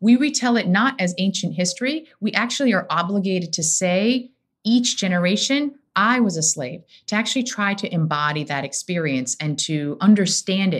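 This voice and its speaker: Somewhat breathy, a woman with an American accent speaks with very wide pitch swings. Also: medium pitch for a woman, moderate pace. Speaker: rabbi. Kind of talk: casual chat.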